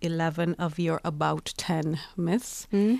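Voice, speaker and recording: Over a quiet background, a woman speaks in an ordinary speaking voice, fairly low-pitched with ordinary pitch variation. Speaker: podcast co-host. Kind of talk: news podcast discussion. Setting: studio.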